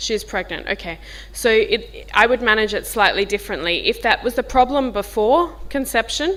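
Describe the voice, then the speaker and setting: The speaker has a strong Australian accent and talks at a moderate pace. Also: woman. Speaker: diabetes professor. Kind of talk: workshop discussion. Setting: workshop with audience, filmed. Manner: informal.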